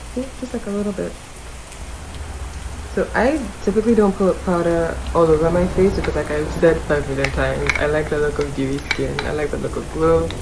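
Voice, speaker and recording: A woman's relaxed tone at a fairly quick pace over noticeable background noise. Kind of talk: beauty tutorial talk to camera. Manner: casual, relaxed.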